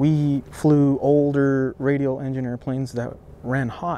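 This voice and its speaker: Dry sound with no echo around a male speaker. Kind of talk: interview answer. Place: open country.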